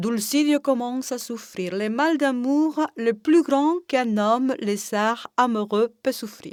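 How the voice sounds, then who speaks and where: Very slowly, a woman speaks in a fairly high voice with ordinary pitch variation. The recording is very clean, with a silent background and a dry, close sound with no echo. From Cuba. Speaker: storyteller. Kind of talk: oral folk tale telling.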